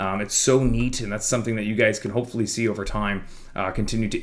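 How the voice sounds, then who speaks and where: Very fast speech with audible room echo. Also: man. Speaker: fitness coach. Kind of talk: casual monthly program overview talk. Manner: mumbling.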